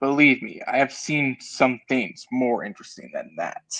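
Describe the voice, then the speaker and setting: A put-on character voice sits at a low-to-middle pitch. It moves along at a moderate pace. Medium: game stream. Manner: haughty, threatening.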